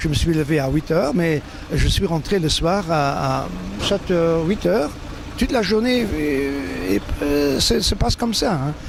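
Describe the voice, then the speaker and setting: Against noticeable background noise, a man with a high pitch speaks at a fairly slow pace with lively intonation. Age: 60s. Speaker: cycling race announcer, retired teacher. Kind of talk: interview. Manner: halting, many repetitions.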